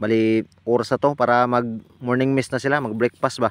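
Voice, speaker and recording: In a Visayan accent, a man talks fairly quickly at medium pitch with fairly even intonation. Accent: Bisaya accent in Tagalog. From Visayas, Philippines. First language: Bisaya (Cebuano) (speaking Tagalog). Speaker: spearfishing vlogger. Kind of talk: casual vlog narration. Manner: casual, conversational.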